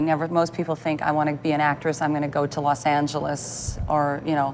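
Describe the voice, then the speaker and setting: Someone speaks at a fairly quick pace with music playing in the background. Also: woman. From Canada, Thunder Bay, Ontario. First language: Italian. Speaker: actress and playwright. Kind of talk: TV interview.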